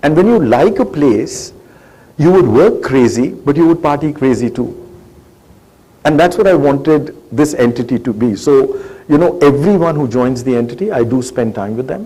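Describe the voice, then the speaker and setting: A man at a moderate pace, his pitch fairly high and his intonation lively, with audible room echo. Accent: Indian. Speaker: government agency head. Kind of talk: interview on stage. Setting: stage with audience.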